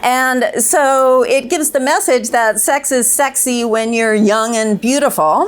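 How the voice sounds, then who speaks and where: Over noticeable background noise, a woman speaks at a high pitch and a fairly slow pace with hardly any pauses, very even loudness and ordinary pitch variation. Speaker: clinical psychologist. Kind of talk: panel discussion. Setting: stage with audience.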